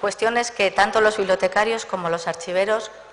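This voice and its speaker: The pitch varies in an ordinary way. There is noticeable background noise. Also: woman. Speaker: librarian or archivist giving welcome. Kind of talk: welcome speech. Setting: book presentation with audience.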